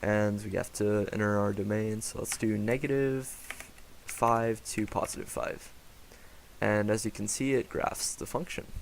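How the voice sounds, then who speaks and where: Over noticeable background noise, the delivery is fairly slow, and the intonation stays fairly even. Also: man, fairly low pitch for a man. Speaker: software developer presenting own app. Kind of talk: software demo tutorial. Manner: casual with filler words.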